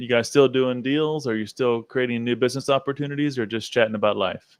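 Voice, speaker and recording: This man speaks at a medium pitch. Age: 40s. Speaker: podcast host. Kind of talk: podcast interview. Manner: upbeat, enthusiastic.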